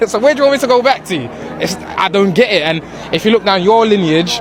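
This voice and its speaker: A man speaks at a very fast pace with a London accent and an animated tone. Crowd noise fills the background. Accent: local London. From London, England. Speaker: interviewee. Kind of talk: casual interview.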